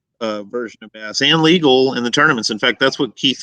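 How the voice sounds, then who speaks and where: A mumbling man with a Southern accent, bright, sharp tone, and a dry, close sound with no echo. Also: quiet background. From US South. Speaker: bass angler. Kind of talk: casual chat.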